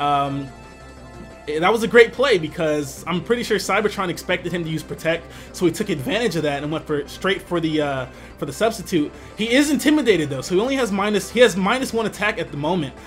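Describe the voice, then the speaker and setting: With music in the background, a man talks at a very fast pace in a high voice. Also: lively intonation. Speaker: aspiring Pokemon event commentator. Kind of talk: live battle commentary. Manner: excited, enthusiastic.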